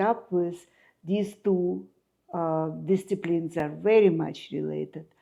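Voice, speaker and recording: A woman speaks very slowly with a Russian accent, her fairly low voice dark and mellow in tone. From Ukraine (Kyiv). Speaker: architect and artist. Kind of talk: interview. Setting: at home.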